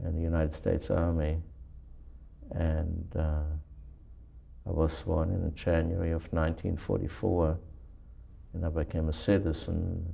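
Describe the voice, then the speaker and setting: At a very deep, low pitch, a man with a dark, mellow, somewhat breathy tone speaks at a moderate pace in a monotone, flat intonation, leaving long, frequent pauses. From Germany. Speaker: Holocaust survivor. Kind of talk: oral history interview. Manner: halting.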